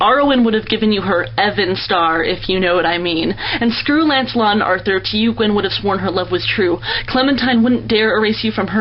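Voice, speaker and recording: With an American accent, a woman at medium pitch speaks at a fairly quick pace with lively intonation against noticeable background noise. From United States. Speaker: poet. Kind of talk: spoken word poetry performance.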